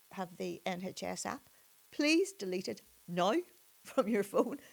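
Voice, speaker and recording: A woman talks with a Northern Irish accent. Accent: Derry Northern Irish. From Northern Ireland, Derry. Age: 60s. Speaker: suspended doctor. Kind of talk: interview conversation. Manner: halting, many repetitions.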